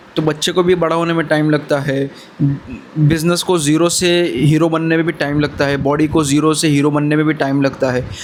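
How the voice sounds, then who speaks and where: A man talks with ordinary pitch variation and very even loudness. Background noise is noticeable. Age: 20s. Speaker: motivational vlogger. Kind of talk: motivational talk to camera. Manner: casual, brotherly.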